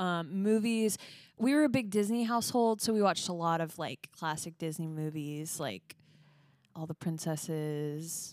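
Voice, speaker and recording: A woman with a plain, everyday voice talks at a moderate pace and fairly low pitch, her intonation lively. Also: very clean recording, silent background. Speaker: podcast co-host. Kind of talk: casual chat.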